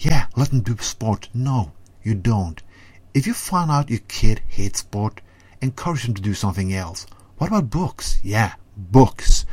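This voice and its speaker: A man at medium pitch, somewhat breathy, with lively intonation and a fairly slow pace, on a very clean recording with a silent background. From Norway. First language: Norwegian. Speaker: segment contributor. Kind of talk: ranting monologue. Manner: animated.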